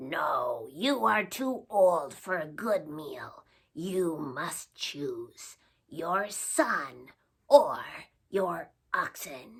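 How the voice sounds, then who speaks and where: A put-on character voice that sounds female growls at a middle pitch. It is gravelly and very slow. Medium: read story. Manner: commanding.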